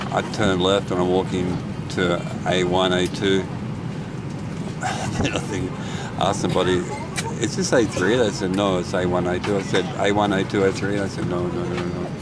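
Through loud background noise, a man talks at a moderate pace with long, frequent pauses in a dry sound with no echo. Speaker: traveller vlogger. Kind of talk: casual vlog chat. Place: plane. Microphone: phone near.

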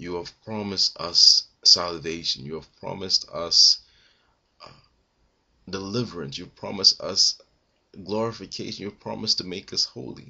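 A man with a very deep, low pitch and vocal fry talks at a moderate pace with long, frequent pauses against a quiet background. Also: ordinary pitch variation, big swings in loudness. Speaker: online prayer leader. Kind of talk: fervent spoken thanksgiving prayer, piling up repeated 'you promised' praises. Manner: rising, emphatic cadence with rhythmic repetition; run-on outpouring, words tumbling without pause. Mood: reverent, calm. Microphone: webcam.

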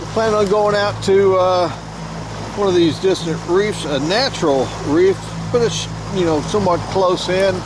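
The sound is dry, with no echo. Background noise is noticeable. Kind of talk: casual vlog chat. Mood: cheerful, joking. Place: boat. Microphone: helmet.

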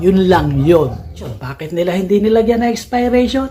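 Noticeable background noise accompanies speech at a moderate pace. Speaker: car channel host. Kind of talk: vlog monologue. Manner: animated.

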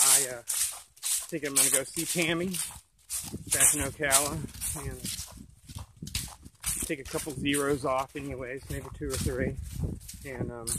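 At a fairly slow pace and with long, frequent pauses, a man speaks in a dry sound with no echo against loud background noise. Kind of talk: casual vlog chat. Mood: relaxed, easygoing. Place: forest. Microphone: phone near.

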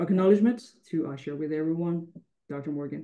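Over a quiet background, a man speaks at a high pitch with a dark, mellow tone. His intonation is fairly even. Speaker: researcher. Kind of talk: conference presentation. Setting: video call. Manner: halting. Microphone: video call.

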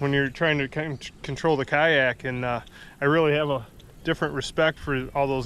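A man's fairly even intonation at a moderate pace, dry sound with no echo. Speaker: fishing vlogger. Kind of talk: casual vlog chat. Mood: relaxed, a bit disappointed. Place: waterside. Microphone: phone near.

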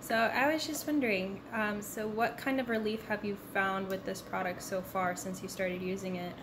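Over noticeable background noise, a woman talks at a moderate pace with ordinary pitch variation and hardly any pauses. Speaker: interviewer. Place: kitchen.

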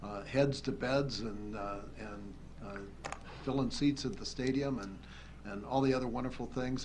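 Moderate-paced speech from a man, with noticeable noise in the background. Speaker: county commissioner. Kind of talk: public meeting discussion. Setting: council chamber. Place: hall. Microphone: podium.

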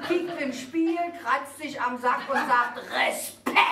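Background noise is noticeable here. The voice belongs to a woman. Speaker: cabaret artist. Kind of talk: cabaret sketch. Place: stage.

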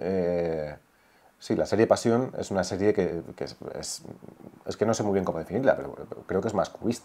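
A man talks in a dark, mellow tone with long, frequent pauses. Light background noise is present. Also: fairly low pitch for a man, ordinary pitch variation, moderate pace. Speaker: son of a late painter and songwriter; interviewee. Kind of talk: casual interview conversation. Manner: halting. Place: home room. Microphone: lapel.

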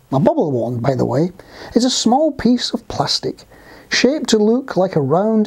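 A reading voice is heard here, and it is unforced.

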